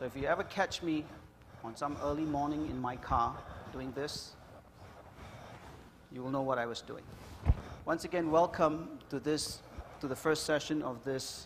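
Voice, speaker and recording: A man's fairly high voice at a moderate pace, fairly even in intonation, with long, frequent pauses. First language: Punjabi. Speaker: financial workshop presenter. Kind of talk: workshop lecture.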